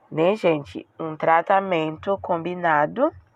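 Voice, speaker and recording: A woman talks very slowly with a French accent. Her pitch is fairly low and her intonation fairly even. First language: French (speaking Portuguese). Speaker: beauty and weight-loss vlogger. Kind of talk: casual vlog talk. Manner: halting, with self-corrections.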